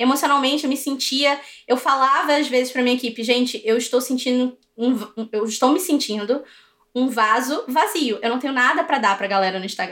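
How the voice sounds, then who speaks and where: A woman's high-pitched voice with ordinary pitch variation at a fairly quick pace. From Brazil. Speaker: English teacher and online course entrepreneur. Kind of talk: interview.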